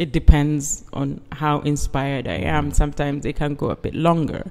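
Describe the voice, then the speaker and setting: A woman is speaking. Her tone is dark and mellow. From East Africa and UK. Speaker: conceptual artist. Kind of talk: interview. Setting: artist's studio.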